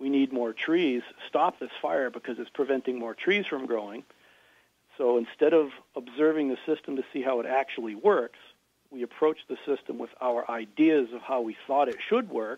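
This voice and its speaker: A man talks in an ordinary speaking voice with an American accent. His pitch sits in the medium range. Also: ordinary pitch variation, moderate pace. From Massachusetts, US. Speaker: farmer and author. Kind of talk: interview.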